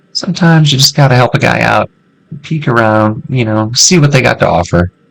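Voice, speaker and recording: A man talks in a Missouri accent. His pace is fairly quick and his intonation lively. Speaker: gaming youtuber. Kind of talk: let's play commentary. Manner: casual, conversational.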